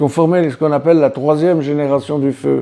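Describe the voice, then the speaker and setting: A man with a fairly high voice speaks in a fairly even tone while music plays in the background. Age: 80s+. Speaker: war veteran. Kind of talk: testimony. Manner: halting.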